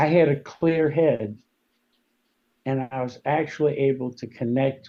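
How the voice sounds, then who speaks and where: A man speaks at a fairly slow pace, his medium pitch carried on fairly even intonation. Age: 60s. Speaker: war veteran. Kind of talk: testimony. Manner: halting.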